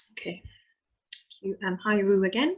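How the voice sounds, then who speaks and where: A woman's medium-pitched voice in a Scottish accent with ordinary pitch variation. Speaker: webinar host. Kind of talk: reading out questions. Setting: online webinar.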